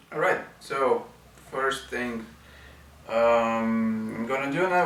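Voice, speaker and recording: Noticeable background noise and audible room echo, with a very slow pace. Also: man. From Bulgaria. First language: Bulgarian. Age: 30s. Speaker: wheelchair user and video blogger. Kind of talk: product review. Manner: hesitant, many fillers.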